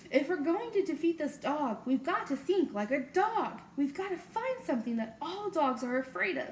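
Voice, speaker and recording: A woman performs a put-on character voice. Clear background noise runs underneath. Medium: read story. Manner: scholarly.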